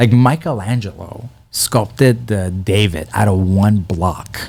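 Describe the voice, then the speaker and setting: A man speaks with a Persian accent and a fairly low pitch. His voice is somewhat breathy, with ordinary pitch variation. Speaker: comedian. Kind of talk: casual chat. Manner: animated.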